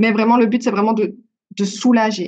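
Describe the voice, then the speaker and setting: A woman's fairly high-pitched voice. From Belgium. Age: 20s. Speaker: beauty and wellness consultant, endometriosis patient. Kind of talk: podcast interview, personal testimony. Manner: hesitant, many filler words.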